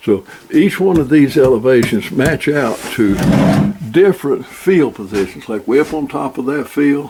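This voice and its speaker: Over noticeable background noise, a man with a fairly high voice speaks at a moderate pace with lively intonation. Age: 80s+. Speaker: outdoorsman demonstrating shooting rests. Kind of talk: tutorial. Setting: at the farm.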